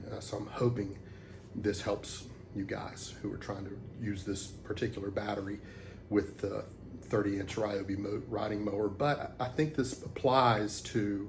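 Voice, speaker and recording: A man's fairly low, somewhat breathy voice with fairly even intonation at a moderate pace, in audible room echo. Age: 60s. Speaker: DIY hobbyist. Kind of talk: tutorial. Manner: halting, many fillers; casual.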